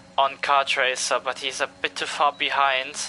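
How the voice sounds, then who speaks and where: A man with a medium-pitched voice speaks fairly slowly over noticeable background noise. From Italy. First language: Italian. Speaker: sim racing commentator. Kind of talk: live commentary.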